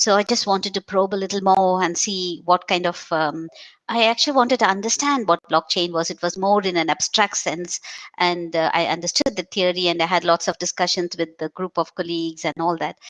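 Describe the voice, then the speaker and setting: A woman talks in an ordinary speaking voice, with a dry, close sound and no echo. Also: fairly low pitch for a woman, ordinary pitch variation, fairly quick pace. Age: 60s. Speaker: academic. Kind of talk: casual chat.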